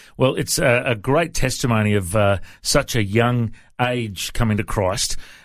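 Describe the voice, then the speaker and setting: A plain, everyday voice: a man of medium pitch speaks at a fairly slow pace with ordinary pitch variation and very even loudness, in a very clean recording with a silent background. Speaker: radio host. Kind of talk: casual interview. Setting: studio.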